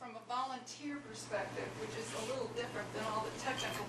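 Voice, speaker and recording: There is audible room echo. Noticeable background noise can be heard too. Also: woman. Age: 60s. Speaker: ship volunteer. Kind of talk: audience remarks. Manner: halting.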